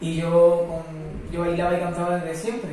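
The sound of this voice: Audible room echo surrounds a man whose voice sits fairly high in pitch.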